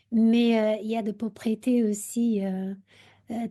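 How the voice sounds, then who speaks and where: Speaking at a very slow pace with a Portuguese accent, a woman uses a fairly high pitch and monotone, flat intonation. Her somewhat breathy voice has a dark, mellow tone against a quiet background. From Portugal. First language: Portuguese (speaking French). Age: 40s. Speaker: university researcher. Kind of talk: radio interview. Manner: halting, many hesitations.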